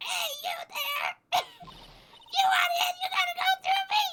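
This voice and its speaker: A put-on character voice shouts at an extremely high pitch. The pace is fairly slow. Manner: challenging, gatekeeper-like.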